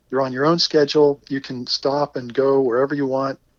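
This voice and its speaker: In a normal speaking voice, a man talks at a fairly quick pace and a fairly high pitch. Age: 60s. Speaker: retired geologist, long-distance cyclist. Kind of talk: interview.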